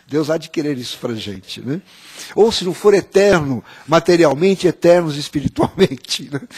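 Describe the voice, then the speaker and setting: A fairly high male voice with lively intonation, a moderate pace and a dry, close sound with no echo. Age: 60s. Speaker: panel guest. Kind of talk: panel talk. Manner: halting, many fillers.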